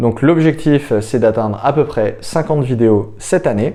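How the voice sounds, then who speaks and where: This man speaks at a moderate pace with a dark, mellow tone and ordinary pitch variation. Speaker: startup founder and YouTuber. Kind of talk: casual vlog monologue. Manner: hesitant, many fillers; unscripted, speaking from notes.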